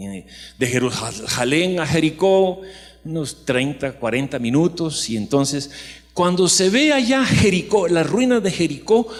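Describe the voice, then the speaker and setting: Noticeable background noise accompanies a man speaking at a very slow pace in a fairly high voice with very wide pitch swings. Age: 60s. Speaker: pastor. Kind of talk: sermon.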